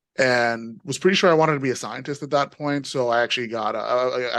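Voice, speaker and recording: Against a quiet background, a man with a New York accent talks at a very fast pace, using medium pitch and ordinary pitch variation. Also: hardly any pauses. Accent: New York American. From New York, US (born in Nigeria, emigrated young). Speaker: panel guest, engineer turned professional. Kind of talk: panel discussion, personal story. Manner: many fillers (you know, um).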